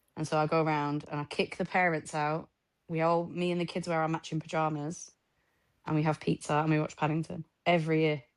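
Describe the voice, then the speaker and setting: Against a quiet background, a woman with a northern English accent speaks at a very deep, low pitch in a monotone, flat intonation. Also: fairly quick pace. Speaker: podcast co-host. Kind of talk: casual chat.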